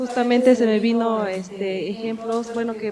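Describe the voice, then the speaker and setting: A woman with a fairly high pitch, monotone, flat intonation and a fairly slow pace, against noticeable background noise. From Tila, Chiapas, Mexico. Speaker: audience member. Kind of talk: audience comment. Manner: halting.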